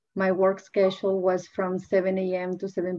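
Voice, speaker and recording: At a moderate pace, a woman speaks with a Spanish accent. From Peru. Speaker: nonprofit deputy director, panelist. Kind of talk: personal testimony.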